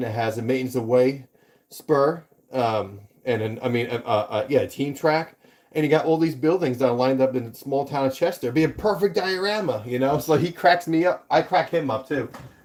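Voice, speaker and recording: A man with a New York accent, animated in tone, medium in pitch, with ordinary pitch variation and a fairly quick pace. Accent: New York (Staten Island). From New York City, Staten Island. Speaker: model railroading YouTuber. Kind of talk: casual livestream chat.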